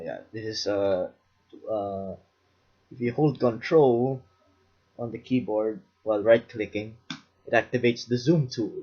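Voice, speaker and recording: Somewhat breathy and fairly slow, a man speaks at medium pitch with ordinary pitch variation, big swings in loudness and long, frequent pauses. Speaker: music production tutorial maker. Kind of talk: tutorial. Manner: halting, many fillers.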